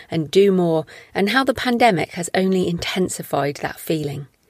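With an English accent, a woman speaks in a fairly low pitch with ordinary pitch variation. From Britain. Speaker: podcast host, thriller author. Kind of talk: podcast interview; scripted intro.

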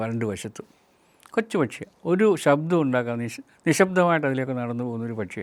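The man has an unremarkable speaking voice. His intonation is lively. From Kerala, Meenachil river area. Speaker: retired chemistry professor, nature NGO president. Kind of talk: reflective monologue talk.

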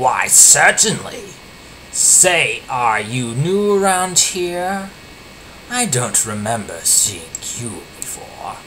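Through clear background noise, a put-on character voice at a middle pitch speaks at a very slow pace. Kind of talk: amateur fanfic reading. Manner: devious, then furious.

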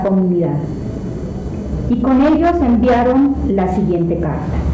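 In a room with audible echo, a woman talks while noticeable background noise carries on. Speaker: lay reader at Mass. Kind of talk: liturgical scripture reading. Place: church.

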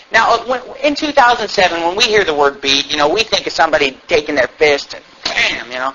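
At a moderate pace, a man with a high pitch swings very widely in pitch over noticeable background noise. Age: 20s. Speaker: pastor. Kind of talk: sermon. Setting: church.

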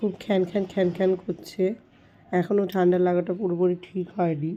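Her tone is dark and mellow. This woman's intonation stays monotone and flat. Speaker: family vlogger. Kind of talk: casual vlog talk to camera.

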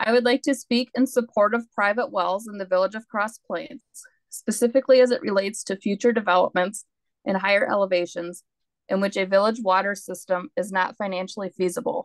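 At a fairly quick pace, a woman talks over a quiet background. Her sound is dry with no echo. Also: ordinary pitch variation. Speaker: resident giving public comment. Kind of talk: public comment statement. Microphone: video call.

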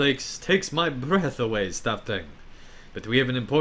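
With lively intonation, the delivery is a natural reading voice.

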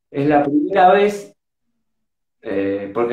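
With a Rioplatense accent, a man speaks at a fairly slow pace in a fairly high pitch. Audible room echo surrounds his voice. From Argentina, Buenos Aires. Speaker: rock drummer. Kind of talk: casual interview. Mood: relaxed, animated storytelling. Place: home room. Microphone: video call.

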